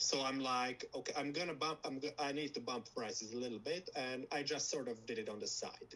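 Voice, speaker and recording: This man has a Slovak accent. His pitch is medium, with ordinary variation. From Slovakia. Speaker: lab founder. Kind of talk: interview. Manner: halting.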